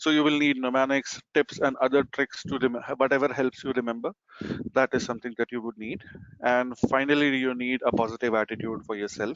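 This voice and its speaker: Speaking fairly quickly, a man keeps a medium pitch and fairly even intonation. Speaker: certification exam trainer. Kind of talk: live webinar presentation. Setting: video conference webinar. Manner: fast.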